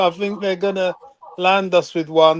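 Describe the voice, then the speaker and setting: This man speaks at a fairly slow pace with an English accent. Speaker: football fan. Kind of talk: casual chat. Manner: quiet.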